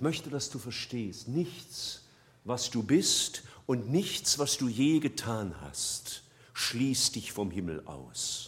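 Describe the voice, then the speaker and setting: A man speaks at a very slow pace in a medium pitch, with a warm tone and vocal fry. His pitch swings very widely. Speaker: preacher. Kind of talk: sermon. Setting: church. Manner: earnest, warm and persuasive, building from plain explanation to a quiet, pleading prayer.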